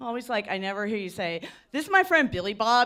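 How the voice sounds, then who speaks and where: A loud woman with a Philadelphia accent talks at a very fast pace. Her pitch swings very widely. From Philadelphia, US. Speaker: comedian. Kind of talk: stand-up. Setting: stage with audience.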